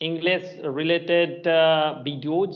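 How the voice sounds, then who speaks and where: In a Bengali accent, a man with a fairly high pitch speaks at a very slow pace in a flat monotone. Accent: Indian (Bengali) English. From India, West Bengal (Purulia). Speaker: English teacher, channel host. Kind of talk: casual chat. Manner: halting, many fillers.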